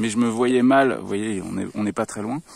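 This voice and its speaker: In a very clean recording with a silent background, a male voice moves through ordinary pitch variation. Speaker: vlogger organizing a live-action role-play event. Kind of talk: casual vlog walkthrough. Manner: loud.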